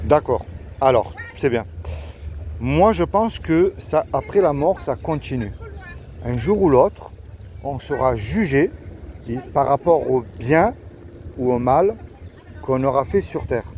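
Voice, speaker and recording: Over noticeable background noise, a man at a medium pitch talks at a very slow pace with long, frequent pauses and very wide pitch swings. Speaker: street evangelist youtuber. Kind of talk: street evangelism conversation. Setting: outdoors in the street.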